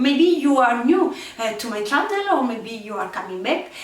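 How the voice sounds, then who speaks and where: In an Italian accent, a woman speaks at a high pitch and a fairly slow pace with very wide pitch swings, with audible room echo and noticeable background noise. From Italy. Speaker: crafting youtuber. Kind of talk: casual chat to camera. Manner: halting, many fillers.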